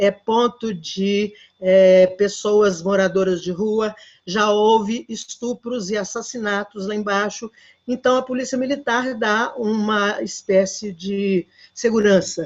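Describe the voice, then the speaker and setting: A woman's fairly high voice, very slow in pace, with ordinary pitch variation. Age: 70s. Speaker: community project participant. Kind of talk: casual chat. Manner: halting.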